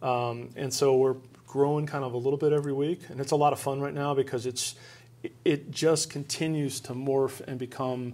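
A fairly quick, monotone man's voice with flat intonation, medium pitch and a dark, mellow tone. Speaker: chocolate company founder. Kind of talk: interview. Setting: studio. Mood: friendly, enthusiastic. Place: studio.

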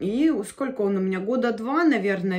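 A woman talks at a moderate pace with very wide pitch swings. Her voice is somewhat breathy, and the background is quiet. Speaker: beauty vlogger. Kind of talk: casual vlog chat. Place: home room. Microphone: phone near.

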